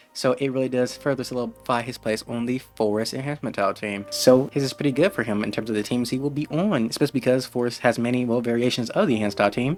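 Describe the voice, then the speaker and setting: Over music in the background, a man talks at a very fast pace with hardly any pauses, using a medium pitch and ordinary pitch variation. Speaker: gaming youtuber. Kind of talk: game guide commentary. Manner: casual, conversational.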